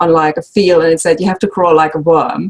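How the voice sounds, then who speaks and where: The speaker, with a German accent, keeps a fairly even intonation. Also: woman. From Germany. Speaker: sewing instructor and quilt designer. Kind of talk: casual interview chat.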